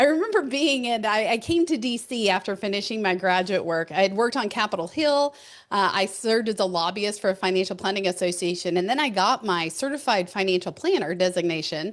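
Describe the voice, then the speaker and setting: A woman with a slight Texan accent talks fairly quickly, with hardly any pauses, at a medium pitch. Her tone is animated and her intonation lively. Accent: Texas accent, slight. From West Texas. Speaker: keynote speaker, financial educator. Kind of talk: podcast interview.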